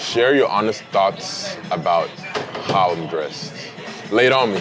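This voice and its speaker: Over music in the background and audible room echo, a man talks fairly slowly at a fairly low pitch with lively intonation. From Nigeria. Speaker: blind date participant. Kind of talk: casual chat.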